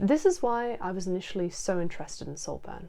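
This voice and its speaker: A woman speaks at a fairly quick pace with lively intonation and a dark, mellow tone. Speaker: video essayist. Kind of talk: video essay narration.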